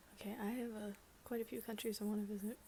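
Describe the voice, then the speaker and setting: Soft-spoken and somewhat breathy, a woman with an American accent has a dark, mellow tone, medium pitch and monotone, flat intonation. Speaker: ASMR YouTuber. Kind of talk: ASMR Q&A, casual talk to camera. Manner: soft-spoken, casual, humorous.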